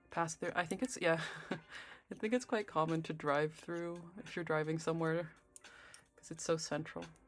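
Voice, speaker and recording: Music plays in the background. The speaker has a relaxed tone and keeps a moderate pace. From Netherlands. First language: Dutch. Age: adult. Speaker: knitting streamer. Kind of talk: casual chat. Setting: live stream with soft background music. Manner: soft-spoken; relaxed, halting with fillers.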